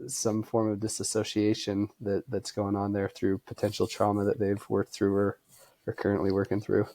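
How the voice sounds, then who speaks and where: Soft-spoken and fairly low in pitch, a man with an American accent speaks in a dark, mellow tone with very even loudness and monotone, flat intonation. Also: moderate pace. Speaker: ultrarunner and running coach. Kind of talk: casual interview chat. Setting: podcast recording.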